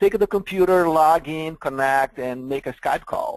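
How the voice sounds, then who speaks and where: A man speaks at a moderate pace with a fairly high pitch and ordinary pitch variation. The sound is dry and close with no echo, over a quiet background. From Brazil. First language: Portuguese. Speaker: software vendor presenter. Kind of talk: webinar product presentation.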